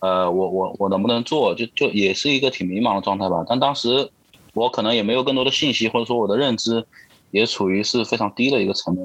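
Speaking at a very fast pace, a man with a medium pitch keeps very even loudness and ordinary pitch variation. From Wuhan, Hubei, China. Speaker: interview guest sharing life story as a father. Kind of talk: casual interview conversation. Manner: halting, with frequent repetitions and fillers.

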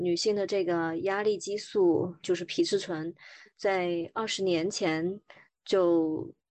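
Over a quiet background, a woman of medium pitch talks in an unremarkable speaking voice. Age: 40s. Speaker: woman sharing menopause experience, former agency worker. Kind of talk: interview testimony.

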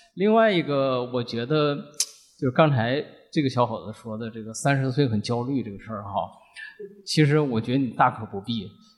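With an ordinary speaking voice, a man talks at a moderate pace and a medium pitch, with ordinary pitch variation and big swings in loudness. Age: 50s. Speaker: company finance director and podcast listener. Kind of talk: personal sharing at live event.

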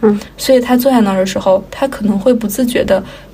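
With audible room echo and noticeable background noise, a woman speaks quickly enough, at a fairly high pitch and with fairly even intonation. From Inner Mongolia, China. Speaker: podcast co-host. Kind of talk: casual chat.

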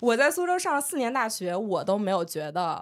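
A woman's plain, everyday voice at a moderate pace, with lively intonation. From northern Jiangsu, Lianyungang. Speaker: podcast co-host. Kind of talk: casual chat.

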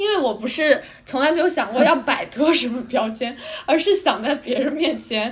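Lively intonation carries the speech at a moderate pace. There is noticeable background noise. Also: woman, high pitch for a woman. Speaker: student podcast co-host. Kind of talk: casual chat.

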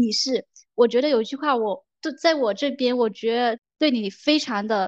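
A woman speaks at a high pitch and a moderate pace. The sound is dry and close with no echo, over a quiet background. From Guangdong, southern China. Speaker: podcast host. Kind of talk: casual chat. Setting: remote call.

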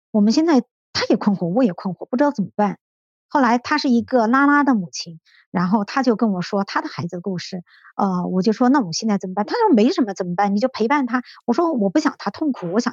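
Talking very fast, a woman with a fairly high voice swings her pitch very widely, and the sound is dry and close with no echo. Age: 50s. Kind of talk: interview testimony. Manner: hesitant, many fillers.

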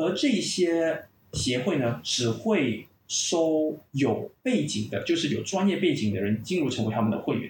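Speaking fairly slowly with a slight Malaysian accent, a man uses fairly high pitch, very wide pitch swings and vocal fry. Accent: slight Malaysian Chinese. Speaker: clinical pain psychologist and university lecturer. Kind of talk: podcast interview, explanatory.

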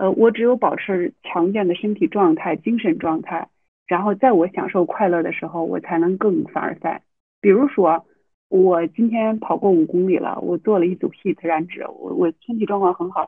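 A woman with a normal speaking voice talks at medium pitch and a moderate pace, with ordinary pitch variation. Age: 30s. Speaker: university teacher and mother. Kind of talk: casual interview.

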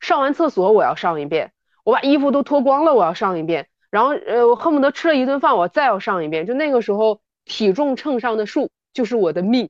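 A woman speaks at a fairly quick pace in a high voice. Her pitch swings very widely. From Northeast China. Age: 30s. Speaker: fitness enthusiast. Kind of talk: casual chat. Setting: remote recording.

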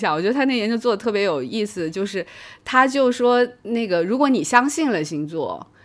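Lively intonation marks this woman's voice. Her pace is fairly quick. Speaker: psychology professor. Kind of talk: casual chat.

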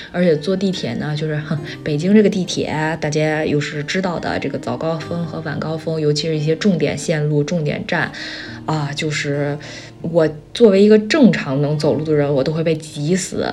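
With music in the background and audible room echo, a woman speaks at a very deep, low pitch with fairly even intonation. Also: moderate pace. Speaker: solo podcast host. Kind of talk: casual monologue.

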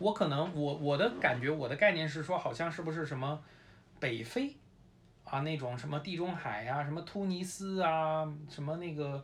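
Speaking with a Beijing accent, a man uses a fairly high pitch, a moderate pace and ordinary pitch variation. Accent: Beijing Mandarin with erhua. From Beijing, China. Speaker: sports photojournalist. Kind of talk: casual chat.

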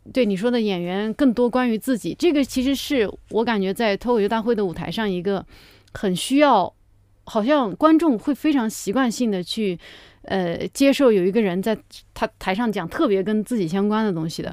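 A woman speaks in a normal speaking voice, fairly high in pitch, with lively intonation at a moderate pace. The recording is very clean, with a silent background. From rural China. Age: 30s. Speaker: stand-up comedian. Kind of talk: casual chat.

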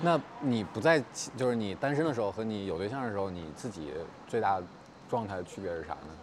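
A man speaks at a fairly quick pace in a fairly low voice. His pitch swings very widely. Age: 30s. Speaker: podcast host. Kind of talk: casual chat. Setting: outdoors.

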